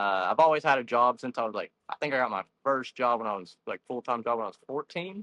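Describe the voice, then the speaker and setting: Someone with a Texan accent talks with ordinary pitch variation in a dry, close sound with no echo. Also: man. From Texas (Stephenville). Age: 20s. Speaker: bass fishing angler. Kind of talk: podcast interview.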